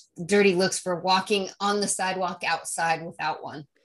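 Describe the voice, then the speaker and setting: Her intonation fairly even, a woman talks in a fairly low pitch. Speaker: podcast co-host. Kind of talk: casual chat.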